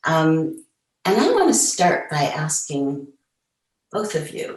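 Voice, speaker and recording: The voice is somewhat breathy and the pace is very slow. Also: woman. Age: 70s. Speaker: feminist activist, moderator. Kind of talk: panel discussion. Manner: hesitant fillers.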